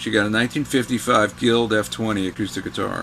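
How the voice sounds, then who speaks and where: A man's medium-pitched voice with fairly even intonation and noticeable background noise. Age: 60s. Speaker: guitarist and music writer. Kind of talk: casual chat.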